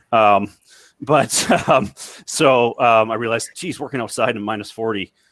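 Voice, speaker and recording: A normal speaking voice with a Canadian accent, fairly even intonation and a moderate pace. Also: man, medium pitch for a man. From Canada. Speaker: maintenance reliability technology director. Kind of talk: panel discussion.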